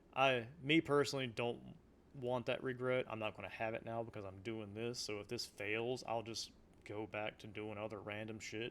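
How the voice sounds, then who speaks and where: At a moderate pace, a man talks at a medium pitch in a Southern US accent. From US South. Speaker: local game store owner. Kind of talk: casual monologue. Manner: animated.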